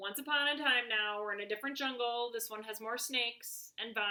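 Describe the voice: The pitch shifts in an ordinary way during this plain reading aloud.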